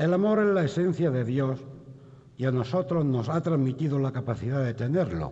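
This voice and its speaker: Over background music, a man with a fairly high voice talks at a fairly slow pace, his intonation lively. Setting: stage with audience in theatre. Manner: solemn, measured, rhetorical, fervent.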